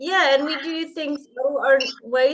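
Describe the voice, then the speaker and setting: This voice belongs to a woman. She speaks with a non-native accent. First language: not English. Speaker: author. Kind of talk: casual interview chat.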